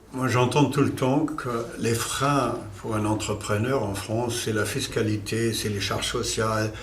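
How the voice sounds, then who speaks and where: With audible room echo and noticeable background noise, a man speaks at a fairly slow pace, his fairly low pitch varying in an ordinary way. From Germany. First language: German (speaking French). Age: 60s. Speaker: company founder. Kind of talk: corporate interview. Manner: hesitant, many fillers.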